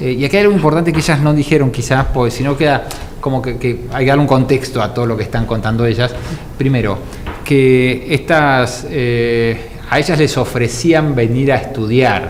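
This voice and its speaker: A man talking at a moderate speed and medium pitch, over noticeable background noise, with audible room echo. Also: ordinary pitch variation. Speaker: co-host of talk show. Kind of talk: studio talk show discussion.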